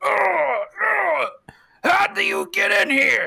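A man puts on a raspy character voice. He talks at a very slow pace. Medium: actual play.

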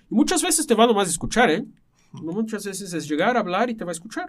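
A man talks at a very fast pace in a high voice, his pitch swinging very widely. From Brazil. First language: Portuguese (speaking Spanish). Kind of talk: casual chat.

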